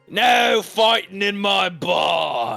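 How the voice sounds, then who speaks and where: A man shouts in a gruff, high-pitched, put-on character voice. Faint music plays in the background. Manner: commanding, warning.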